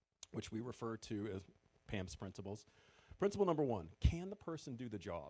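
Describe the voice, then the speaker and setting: A man with a New England accent talks very fast in a dark, mellow tone. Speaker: former retail store manager, event speaker. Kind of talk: presentation to audience.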